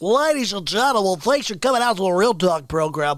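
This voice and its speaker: The voice is a put-on character voice with very wide pitch swings. It moves at a fairly quick pace. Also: man, high pitch for a man. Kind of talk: announcer-style, broadcast delivery.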